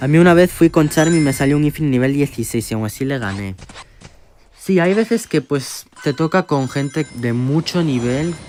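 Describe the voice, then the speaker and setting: With music in the background, a man talks at a moderate pace in a fairly high voice. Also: lively intonation. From Spain. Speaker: gaming streamer. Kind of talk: live gameplay stream chat. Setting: livestream. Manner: animated.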